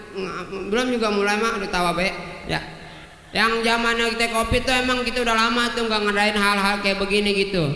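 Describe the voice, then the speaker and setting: A man speaks in a raised, projected voice at an extremely high pitch and a fairly quick pace, with ordinary pitch variation. Noticeable background noise and audible room echo are present. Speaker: singer-songwriter performing at a local festival. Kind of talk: stage banter with audience. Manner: animated, joking.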